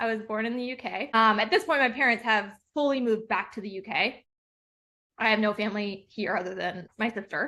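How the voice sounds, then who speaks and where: In a quiet background, a woman speaks fairly quickly in a fairly high voice with ordinary pitch variation. Her tone is bright and sharp. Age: 30s. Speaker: entrepreneur. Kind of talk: interview.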